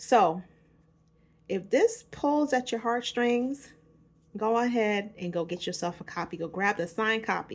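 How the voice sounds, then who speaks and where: In a New York accent, a woman with a fairly high voice speaks at a fairly slow pace with long, frequent pauses. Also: lively intonation. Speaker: author and self-help vlogger. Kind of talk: casual vlog book promotion. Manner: casual, informal.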